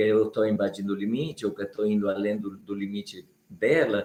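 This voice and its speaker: A man's unremarkable speaking voice, medium in pitch, at a moderate pace. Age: 60s. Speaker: Biodanza facilitator and live show co-host. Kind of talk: live stream talk.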